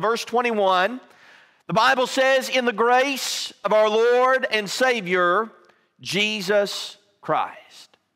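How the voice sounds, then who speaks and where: A man's raised, projected voice with ordinary pitch variation against a quiet background. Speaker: preacher. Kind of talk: sermon. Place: church.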